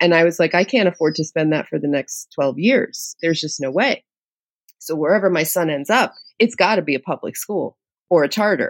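With a plain, everyday voice, a woman speaks at a fairly quick pace with a fairly low pitch, lively intonation and an American accent. The recording is very clean with a silent background, and the sound is dry and close, with no echo. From New York City, Lower East Side. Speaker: podcast host and journalist. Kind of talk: interview conversation.

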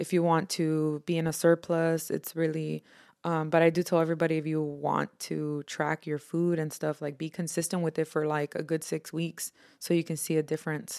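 A woman speaks in a very deep, low pitch with monotone, flat intonation, and the sound is dry and close with no echo. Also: moderate pace. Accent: American. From Houston, Texas. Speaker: tattoo artist. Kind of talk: casual interview.

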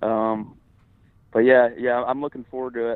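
At a moderate pace, a man speaks in an unremarkable speaking voice with a medium pitch. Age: 20s. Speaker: bass fishing angler. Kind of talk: casual interview.

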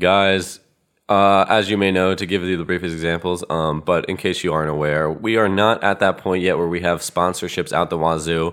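A man with an American accent speaks at a very deep, low pitch. His pace is moderate and his intonation fairly even. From South Jersey, US. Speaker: comedy podcast co-host. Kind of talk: casual improv comedy chat.

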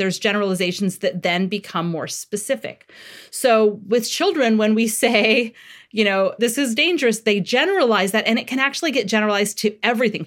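A woman talks at a fairly quick pace in an ordinary speaking voice with a fairly high pitch. The recording is very clean, with a silent background. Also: ordinary pitch variation. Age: 40s. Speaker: parenting author and therapist. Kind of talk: interview.

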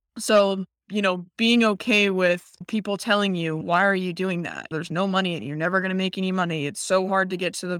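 With an American accent and a plain, everyday voice, a woman speaks at a fairly quick pace with hardly any pauses, medium pitch and fairly even intonation, on a very clean recording with a silent background. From Nevada, US. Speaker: professional golfer. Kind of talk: casual interview.

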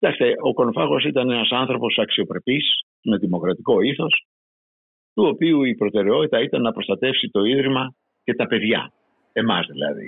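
A man talks at a moderate pace, leaving long, frequent pauses. His pitch swings very widely while his loudness stays very even. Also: medium pitch for a man. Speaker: former student protester, eyewitness. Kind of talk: interview testimony.

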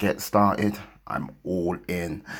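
Flat and monotone, a man speaks in a very deep, low pitch. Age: 40s. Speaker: motivational podcaster. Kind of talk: unscripted monologue. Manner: hesitant, many fillers.

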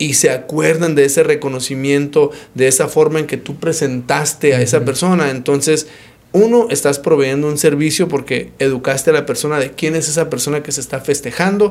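The intonation here is fairly even. It is a normal speaking voice. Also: man, fairly high pitch for a man. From Arizona, Phoenix. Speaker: doctor and local business owner. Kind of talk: casual interview.

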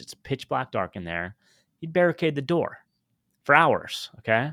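Recorded very cleanly against a silent background, with a dry, close sound and no echo, a man with an American accent speaks with very wide pitch swings. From US West Coast. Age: 50s. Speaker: podcaster and tech entrepreneur. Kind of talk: personal story interview.

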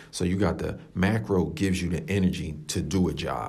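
A man talks at a fairly slow pace in a very deep, low, somewhat breathy voice. Audible room echo surrounds the speech. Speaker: fitness podcast host. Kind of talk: solo podcast monologue. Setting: coworking space room. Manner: casual, filler-heavy. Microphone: echoey room sound.

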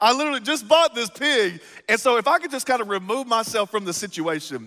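In a Texas accent, a raised, projected voice with a bright, sharp, animated tone swings very widely in pitch at a fairly quick pace, recorded dry and close with no echo. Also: man. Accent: Southern US (Texas). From East Texas. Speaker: pastor. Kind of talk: sermon.

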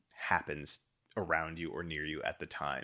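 In a very clean recording with a silent background, a man speaks at a moderate pace with a very deep, low pitch. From Texas (Dallas-Fort Worth). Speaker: podcast host, entrepreneur. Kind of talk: show announcements to listeners; casual interview chat. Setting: home music studio.

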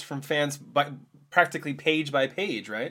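A man speaks in a bright, sharp tone. The recording is very clean, with a silent background. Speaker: comics podcast host. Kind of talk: casual chat. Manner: fast.

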